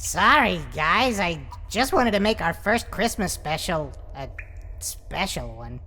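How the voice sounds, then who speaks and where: In a cartoonish character voice, a female-sounding speaker goes at a fairly slow pace over clear background noise. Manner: eager, stammering.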